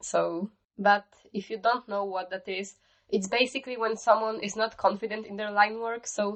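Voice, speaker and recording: Speaking with a non-native accent, a woman has a fairly high pitch and a moderate pace. Her intonation is monotone and flat. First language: not English. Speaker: digital art YouTuber. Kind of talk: tutorial. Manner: casual.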